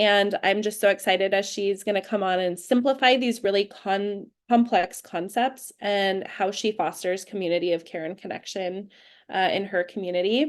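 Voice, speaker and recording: A normal speaking voice in an American accent, moderate in pace with ordinary pitch variation, over a quiet background. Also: woman, medium pitch for a woman. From California, US. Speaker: webinar host. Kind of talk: live webinar introduction.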